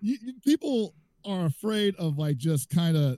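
Loud and dark, mellow in tone, a man speaks at a fairly slow pace with very wide pitch swings in a dry, close recording with no echo. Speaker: fighting game commentator. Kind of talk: casual chat.

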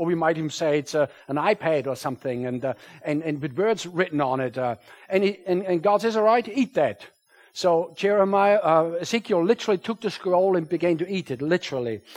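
A man with a German accent and a high pitch talks fairly quickly with lively intonation. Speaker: pastor. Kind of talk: sermon. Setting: church.

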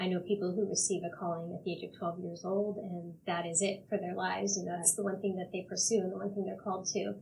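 Noticeable background noise sits behind the speech. The delivery is very fast, with monotone, flat intonation. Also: woman, medium pitch for a woman. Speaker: university podcast co-host. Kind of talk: interview conversation.

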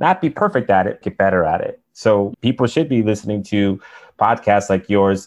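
Against a quiet background, a man talks in a normal speaking voice at a fairly low pitch. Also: ordinary pitch variation, moderate pace. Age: 30s. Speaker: podcast co-host. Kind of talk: casual interview chat.

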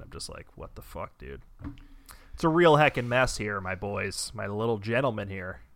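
A man's bright, sharp, medium-pitched voice, very fast and with lively intonation, in a very clean recording with a silent background. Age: 30s. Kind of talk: casual chat. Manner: animated.

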